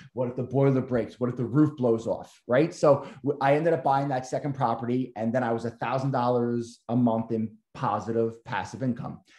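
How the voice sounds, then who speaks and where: A man with an American accent talks at a moderate pace in a dark, mellow tone. The room echo is audible, though the background is quiet. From Long Island, New York. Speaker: realtor and real estate investor. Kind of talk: group coaching call. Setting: video call. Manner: animated. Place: home room. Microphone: video call.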